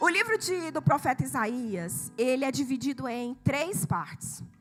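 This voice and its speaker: Animated and high-pitched, a woman speaks fairly slowly with very wide pitch swings. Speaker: preacher. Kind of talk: sermon. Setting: church with congregation.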